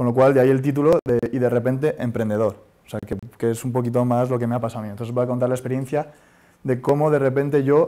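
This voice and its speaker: A man speaks at a very fast pace with a medium pitch. His dark, mellow tone carries fairly even intonation. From Spain (Madrid). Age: 30s. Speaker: startup founder; speaker. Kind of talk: conference talk; talk to audience. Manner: hesitant. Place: hall. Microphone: lapel.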